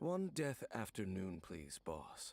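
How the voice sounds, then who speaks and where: Putting on a character voice, a man speaks at a fairly low pitch with very wide pitch swings. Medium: video game. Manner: terse, grave.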